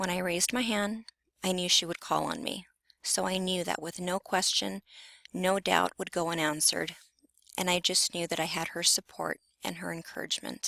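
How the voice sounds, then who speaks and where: A woman speaks at a moderate pace and a fairly low pitch, her tone bright and sharp with vocal fry, in a dry, close sound with no echo. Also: fairly even intonation. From Southern California (Carson, near Compton). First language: Spanish. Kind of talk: personal narrative presentation.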